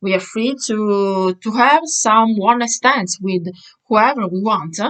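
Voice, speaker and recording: With an Italian accent, a woman at medium pitch speaks at a very slow pace. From Italy. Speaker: vlogger. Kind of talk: opinion monologue. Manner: halting, many fillers.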